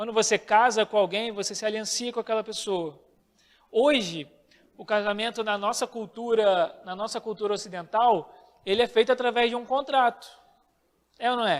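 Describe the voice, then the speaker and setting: A man speaks at a high pitch and a moderate pace. The recording is very clean, with a silent background. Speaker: bible teacher. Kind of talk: bible class lecture.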